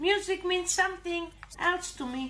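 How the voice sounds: A squeaky, whiny cartoonish character voice at an extremely high pitch talks at a moderate pace over clear background noise.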